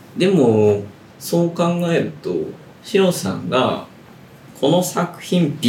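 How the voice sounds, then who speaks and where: Amid noticeable background noise and audible room echo, a man with a high pitch speaks at a very slow pace, with lively intonation and long, frequent pauses. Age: 30s. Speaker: literary magazine editor and podcast host. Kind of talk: casual chat.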